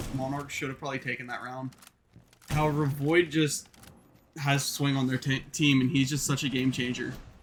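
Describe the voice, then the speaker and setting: Noticeable background noise sits under speech delivered in a monotone, flat intonation. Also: man, fairly high pitch for a man, moderate pace. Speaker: esports caster. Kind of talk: live commentary. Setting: live stream. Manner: casual, conversational.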